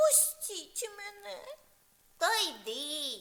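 Extremely high in pitch, this put-on character voice is clearly an act. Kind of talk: children's fairy tale acting. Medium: read story. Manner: sing-song rhyming.

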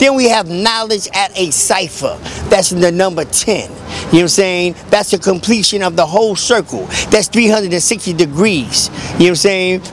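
A man with a high pitch speaks at a moderate pace. The sound is dry with no echo, over light background noise. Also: ordinary pitch variation. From New York. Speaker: community activist and street bookseller. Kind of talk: casual street talk. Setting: outdoors on a street. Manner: halting, many fillers. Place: street. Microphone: handheld.

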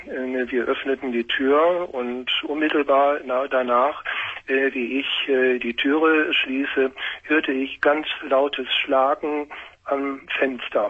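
A man's fairly high voice holds a monotone, flat intonation. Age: 50s. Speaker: caller. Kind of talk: phone-in talk. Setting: phone call. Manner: halting. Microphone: echo on the line; phone line.

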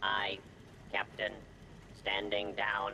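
A man puts on a character voice pitched fairly low. Background noise is clearly audible. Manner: dutiful, obedient.

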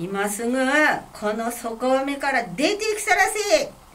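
A woman talks at a very slow pace with a Fukui accent. Her pitch swings very widely. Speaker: kamishibai storyteller. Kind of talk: picture-story storytelling. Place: meeting room. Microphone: camera far.

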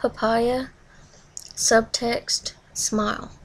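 Speaking with a Tennessee accent, a woman uses a high pitch and monotone, flat intonation. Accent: Southern US, Tennessee. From Southern US. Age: 20s. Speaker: vlogger. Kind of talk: accent tag word list and casual answers to camera. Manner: nervous, shy. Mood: nervous, shy. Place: home room. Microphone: webcam.

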